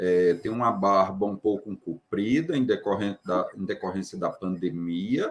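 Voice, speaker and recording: A man talks at a fairly slow pace. He hardly pauses at all. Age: 40s. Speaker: doctor, book author. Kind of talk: self-description at live stream.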